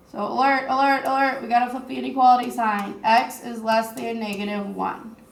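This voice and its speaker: A woman speaks at a fairly high pitch and a fairly quick pace, with hardly any pauses. Her loudness swings widely, her intonation stays fairly even, and there is noticeable background noise. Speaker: teacher. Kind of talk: recorded math lesson.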